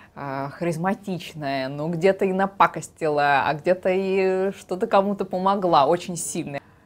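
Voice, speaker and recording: Speaking at a fairly slow pace, a woman lets her pitch vary in an ordinary way. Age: 20s. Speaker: actress. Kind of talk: casting video introduction. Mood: cheerful, animated. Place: studio. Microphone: lapel.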